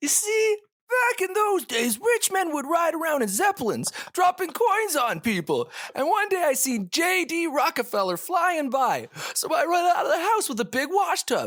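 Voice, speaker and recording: An extremely high-pitched, put-on character voice comes through. It moves at a moderate pace. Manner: gruff, rambling.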